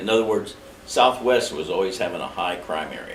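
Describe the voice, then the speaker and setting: A man with an American accent, audible room echo and noticeable background noise. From Indiana, US Midwest. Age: 70s. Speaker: mayoral candidate, retired marine. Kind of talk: interview. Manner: blunt, plain-spoken.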